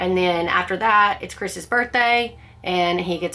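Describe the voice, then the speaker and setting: A woman speaks at a medium pitch in a bright, sharp tone, keeping her intonation fairly even. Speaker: book club vlogger. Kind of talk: casual book discussion monologue.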